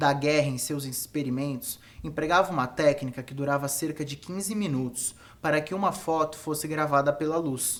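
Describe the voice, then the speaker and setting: A man speaks in a normal speaking voice at a fairly high pitch and moderate pace, with fairly even intonation. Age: 20s. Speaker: photographer and educator. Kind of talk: lecture. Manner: formal.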